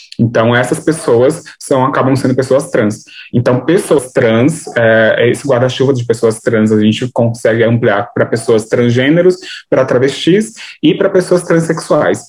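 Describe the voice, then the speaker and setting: This man talks at a fairly slow pace in a medium pitch, somewhat breathy. His loudness stays very even throughout. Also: ordinary pitch variation. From São Paulo, Brazil (Grajaú, south side periphery). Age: 20s. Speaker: artist and activist, content creator. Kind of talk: interview conversation.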